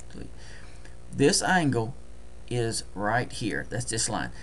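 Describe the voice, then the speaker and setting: A man is speaking. He has a Deep South US accent. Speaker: trading tutorial presenter.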